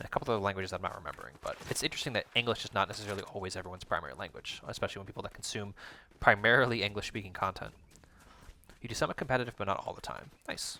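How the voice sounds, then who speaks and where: Speaking at a very fast pace, a man with a fairly low pitch and a bright, sharp tone uses ordinary pitch variation. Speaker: gaming streamer. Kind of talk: live gameplay stream with chat. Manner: explanatory, educator-like.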